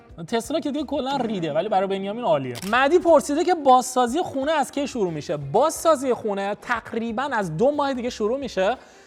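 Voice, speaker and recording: Against noticeable background noise, a man rushes along at a very fast pace with hardly any pauses, his extremely high pitch swinging very widely. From Iran, Bushehr province (Genaveh), also Shiraz. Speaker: YouTuber, vlogger. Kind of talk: casual Q&A vlog. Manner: casual, conversational.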